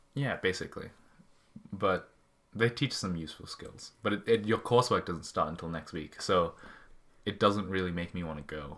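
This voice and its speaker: A man with an Australian accent and a very deep, low pitch, at a moderate pace with ordinary pitch variation, big swings in loudness and long, frequent pauses. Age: young. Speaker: podcast co-host. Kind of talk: casual chat. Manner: talkative.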